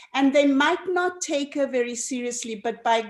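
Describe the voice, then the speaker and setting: A woman's voice over noticeable background noise. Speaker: documentary filmmaker. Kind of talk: interview.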